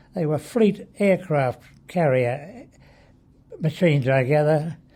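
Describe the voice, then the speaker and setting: A somewhat breathy voice with lively intonation and a dark, mellow tone. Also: man. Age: 80s+. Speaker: war veteran. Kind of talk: interview answer. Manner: hesitant, reminiscing.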